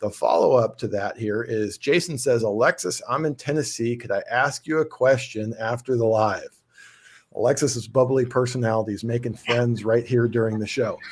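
The somewhat breathy speaker has an American accent and talks at a moderate pace with fairly even intonation. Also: man, medium pitch for a man. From Southern California. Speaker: podcast host. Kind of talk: casual chat. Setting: video call.

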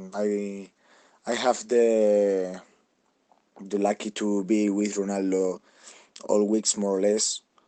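A man with a Spanish accent speaks at a very slow pace in a dark, mellow tone, monotone and flat, with long, frequent pauses. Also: fairly low pitch for a man. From Spain, Madrid. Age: 20s. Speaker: celebrity lookalike. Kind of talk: interview. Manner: halting.

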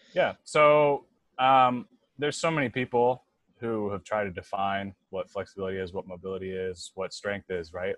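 With an American accent, a man talks at a moderate pace in an unremarkable speaking voice, his pitch fairly low and the sound dry and close with no echo against a quiet background. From North Carolina, US. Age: 30s. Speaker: fitness coach. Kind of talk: podcast interview. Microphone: connection cutting out.

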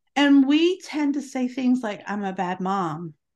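A woman with an ordinary speaking voice and lively intonation, against a quiet background. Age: 50s. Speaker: homemaking podcaster and homeschooling mother. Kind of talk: podcast interview.

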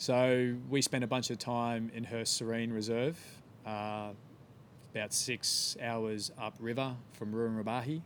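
A man's medium-pitched voice with an Australian accent, fairly slow and delivered in a flat monotone. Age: 30s. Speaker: environmental campaigner. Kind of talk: casual interview.

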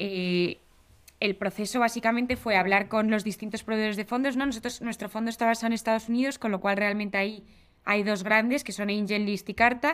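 A woman's fairly high voice with a Spanish accent and fairly even intonation. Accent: Spanish (Spain) Spanish. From Spain. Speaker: venture capital investor. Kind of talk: interview.

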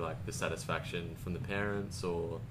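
With audible room echo, a man speaks in a very deep, low voice. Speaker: podcast host and systemic designer. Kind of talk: interview. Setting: guest's home in Jakarta. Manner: casual.

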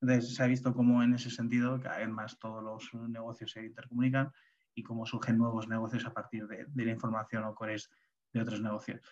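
A man talks very fast at medium pitch with monotone, flat intonation. His loudness swings a great deal. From Getafe, Madrid, Spain. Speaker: community organiser. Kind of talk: webinar presentation.

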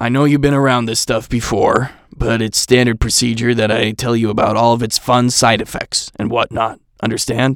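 A man uses a put-on character voice that is raspy and gruff, medium in pitch, with monotone, flat intonation at a moderate pace. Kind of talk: casual, matter-of-fact.

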